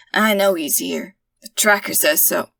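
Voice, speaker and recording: In a raspy put-on character voice, a woman speaks at a medium pitch and moderate pace, with a dry, close sound and no echo. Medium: read story. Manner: arrogant, menacing.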